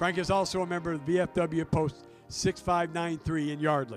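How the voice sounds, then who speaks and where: With music in the background, a man at a high pitch for a man talks at a moderate pace with fairly even intonation. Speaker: stadium public address announcer. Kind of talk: ballpark PA tribute announcement. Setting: PA system.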